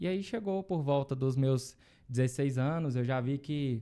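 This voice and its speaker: With a Goiás accent, a man speaks in a dark, mellow tone at a medium pitch with ordinary pitch variation. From Brazil, Goiás (Luziânia, near Brasília). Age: 20s. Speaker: lawyer. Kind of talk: interview.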